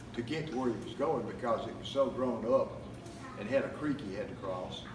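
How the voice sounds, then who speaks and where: Against noticeable background noise, a man with an American accent speaks at a moderate pace with very wide pitch swings. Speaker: family storyteller. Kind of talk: anecdote told to family gathering. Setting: family reunion, live audience.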